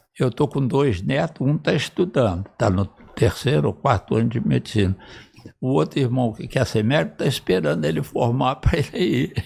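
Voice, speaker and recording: Using vocal fry, a man at a medium pitch speaks at a moderate pace with very wide pitch swings. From Brazil, northwestern Rio de Janeiro state. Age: 80s+. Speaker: retired cardiac surgeon and professor. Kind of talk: interview, reminiscing.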